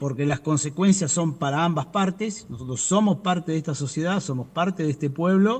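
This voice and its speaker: Hardly pausing, a man talks at a fairly quick pace in a high voice with ordinary pitch variation. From Argentina, Buenos Aires province. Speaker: civilian worker union representative. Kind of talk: interview. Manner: fast.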